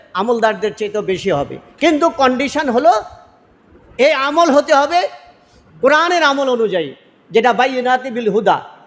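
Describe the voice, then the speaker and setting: Over noticeable background noise, a man talks at an extremely high pitch with lively intonation. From Bangladesh, Noakhali. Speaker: local political candidate. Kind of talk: religious speech. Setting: iftar gathering.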